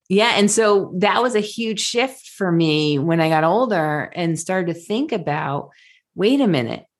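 The speaker uses a normal speaking voice at a fairly slow pace, with lively intonation. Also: woman, medium pitch for a woman. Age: 40s. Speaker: health coach and outdoor guide. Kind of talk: casual chat.

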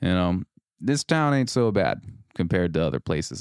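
Recorded dry and close with no echo against a silent background, a man with an American accent speaks at a very deep, low pitch with lively intonation. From Oregon. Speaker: podcast host, army veteran. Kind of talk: casual solo storytelling. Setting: studio.

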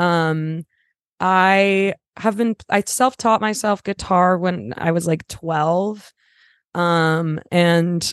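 In a Californian accent, a woman speaks with a fairly low pitch and fairly even intonation against a quiet background, the sound dry and close with no echo. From Los Angeles, San Fernando Valley. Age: 20s. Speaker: singer-songwriter. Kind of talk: casual chat. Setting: remote call from parents' house.

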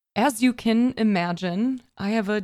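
Recorded very cleanly with a silent background, a woman with an American accent speaks with ordinary pitch variation. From US Midwest, Chicago suburbs. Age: 30s. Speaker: podcaster and streamer. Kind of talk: solo motivational monologue. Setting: home office at desk.

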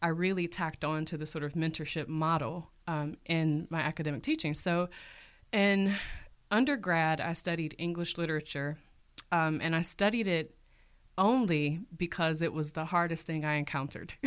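On a very clean recording with a silent background, a woman with an American accent uses an ordinary speaking voice, fairly low in pitch, with ordinary pitch variation at a moderate pace. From Cleveland, Ohio, US Midwest. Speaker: teacher. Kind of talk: interview.

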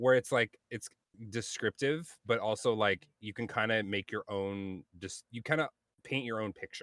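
Dry and close with no echo, the recording carries a man's unremarkable speaking voice at a medium pitch, a moderate pace and ordinary pitch variation. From US, multiple places (Carolinas, Montana, California). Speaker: podcast host and gamer. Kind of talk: casual chat.

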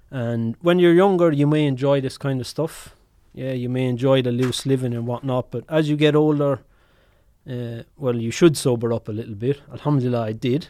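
With an Irish accent, the man talks at a moderate pace. His pitch sits in the medium range and varies in an ordinary way. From Ireland. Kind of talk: casual chat.

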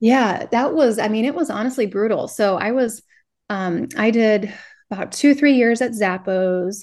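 Using a normal speaking voice, a woman with an American accent talks at a moderate pace, her pitch fairly high with ordinary variation. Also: quiet background. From Minnesota. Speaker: online business coach and Etsy seller. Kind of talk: interview.

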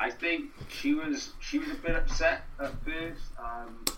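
A man talks with audible room echo around him and noticeable background noise behind him. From Wales, Newport. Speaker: actor and writer. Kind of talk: casual interview.

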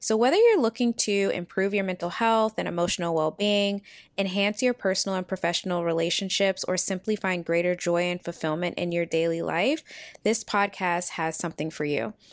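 A woman speaks at a fairly quick pace in a plain, everyday voice, with medium pitch and ordinary pitch variation. The recording is very clean, with a silent background and a dry, close sound with no echo. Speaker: podcast host and wellness consultant. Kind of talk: guided meditation. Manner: gentle, measured, with long pauses.

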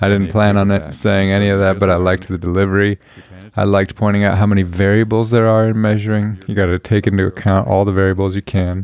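A man's fairly low, monotone, flat voice at a very fast pace, with very even loudness over a quiet background. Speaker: solo podcast host. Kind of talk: casual solo monologue. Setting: home recording, late evening. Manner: relaxed.

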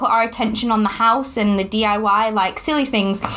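A woman with a Yorkshire accent over noticeable background noise. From Yorkshire, northern England. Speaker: podcast host, new mother. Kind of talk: casual chat. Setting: home, baby napping in the room.

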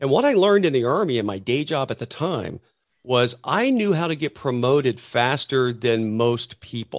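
An ordinary speaking voice from a man of medium pitch, with lively intonation at a moderate pace, on a very clean recording with a silent background. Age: 50s. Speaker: entrepreneur and army veteran. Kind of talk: interview.

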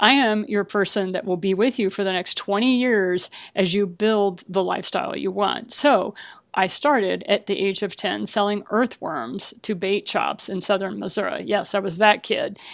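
Vocal fry runs through a woman's medium-pitched voice as she speaks at a moderate pace with ordinary pitch variation. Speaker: author and business coach. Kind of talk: interview about her book.

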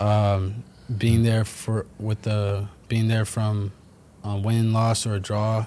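A man with a New York accent, fairly low in pitch, in a monotone, flat delivery. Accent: New York area American. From New Jersey, US. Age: 20s. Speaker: professional footballer. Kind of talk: casual chat.

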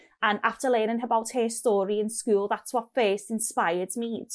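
A woman with a strong Scottish accent, fairly high pitch and monotone, flat intonation, on a very clean recording with a silent background. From Scotland. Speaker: clinical scientist. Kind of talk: casual interview chat.

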